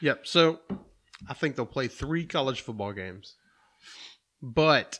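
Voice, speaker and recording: A man's bright, sharp tone with lively intonation. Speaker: podcast co-host. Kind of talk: casual chat. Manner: fast.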